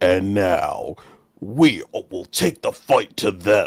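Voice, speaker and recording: A man's put-on character voice, fairly low in pitch, very slow in pace and dramatic and serious in tone. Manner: dramatic, epic, self-serious.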